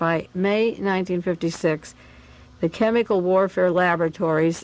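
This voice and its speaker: This is an unremarkable speaking voice, a woman's with a fairly low pitch. She keeps a moderate pace and fairly even intonation. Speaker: radio host and conspiracy researcher. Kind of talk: radio talk reading from documents.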